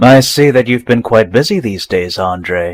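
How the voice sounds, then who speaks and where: In a cartoonish character voice, a man speaks at a moderate pace and medium pitch with lively intonation. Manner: calm, self-assured.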